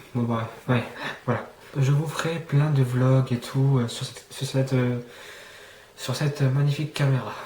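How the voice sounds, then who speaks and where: Against noticeable background noise, a man talks at medium pitch with fairly even intonation. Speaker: YouTuber. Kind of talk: casual vlog monologue. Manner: halting, many fillers.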